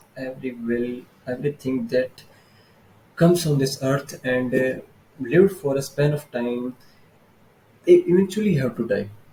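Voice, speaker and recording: A man's fairly high-pitched voice in an Indian accent, with a dark, mellow tone. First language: Hindi. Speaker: vlogger. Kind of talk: casual monologue book summary. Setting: filming alone on camera. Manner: halting.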